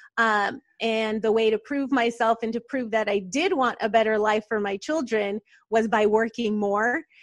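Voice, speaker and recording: Over a quiet background with a dry, close sound and no echo, a woman talks in a normal speaking voice at a moderate pace, her fairly high pitch carried on fairly even intonation. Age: 40s. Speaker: entrepreneur and business coach. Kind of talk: casual interview.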